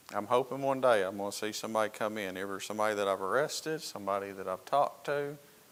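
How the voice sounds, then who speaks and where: A man speaks very fast with a Southern US accent. His pitch is fairly low. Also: ordinary pitch variation, hardly any pauses. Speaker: Sunday school teacher and police officer. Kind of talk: Sunday school lesson.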